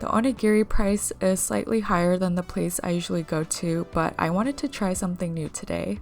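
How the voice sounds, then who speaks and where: At a moderate pace, a woman speaks at a medium pitch with ordinary pitch variation while music plays in the background. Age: 20s. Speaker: corporate worker and part-time MBA student. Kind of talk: vlog talk to camera and voiceover.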